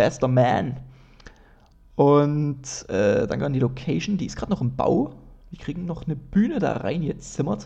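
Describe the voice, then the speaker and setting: At a moderate pace, a man with a dark, mellow tone and fairly high pitch speaks with lively intonation and vocal fry. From Dresden, Saxony. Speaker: comedian and podcast host. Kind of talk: solo casual monologue. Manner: casual, many fillers.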